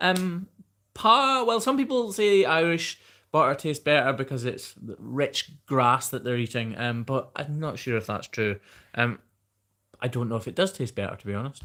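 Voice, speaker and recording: Over a very clean recording with a silent background, a man with a slight Scottish accent and a fairly high pitch talks at a moderate pace in a bright, sharp tone with very wide pitch swings. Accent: mild Scottish. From Scotland. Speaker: hoof trimmer and YouTuber. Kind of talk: live stream Q&A, reading viewer comments. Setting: live stream. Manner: casual, chatty.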